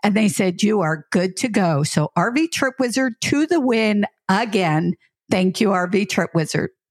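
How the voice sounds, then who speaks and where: A woman with an unremarkable speaking voice at medium pitch, fairly slow and very even in loudness, with lively intonation and a dry, close sound with no echo. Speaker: podcast co-host, full-time RVer. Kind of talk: casual chat. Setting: recorded together in person.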